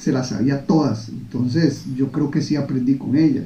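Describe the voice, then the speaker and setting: A man speaks at a moderate pace, and audible room echo can be heard. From Costa Rica. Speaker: podcast host. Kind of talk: casual chat.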